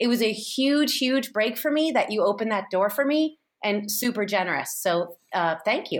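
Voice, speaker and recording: Speaking with an American accent, a woman uses a fairly high pitch, lively intonation and a moderate pace in an unremarkable speaking voice. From San Francisco, US. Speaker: TV host and writer. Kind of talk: casual chat.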